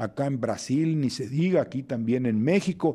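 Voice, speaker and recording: The voice moves at a fairly slow pace with lively intonation and a dark, mellow tone. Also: man. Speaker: political commentator. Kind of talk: radio commentary. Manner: hesitant, many filler sounds.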